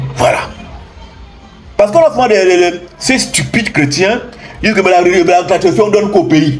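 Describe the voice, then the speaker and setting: A loud man with a high pitch speaks in an animated tone and lively intonation at a moderate pace, leaving long, frequent pauses. Music plays in the background, and the room echo is audible. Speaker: spiritual teacher. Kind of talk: impassioned lecture.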